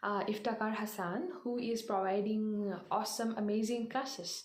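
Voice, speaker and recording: A woman speaks in a fairly high pitch with fairly even intonation. The room echo is audible. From India, Assam (North Lakhimpur). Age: 20s. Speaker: motivational speaker. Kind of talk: motivational talk. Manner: halting, many fillers.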